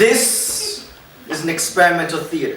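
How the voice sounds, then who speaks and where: Noticeable background noise under a man's high-pitched voice. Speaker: spoken word poet. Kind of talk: live spoken word poetry performance. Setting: live audience.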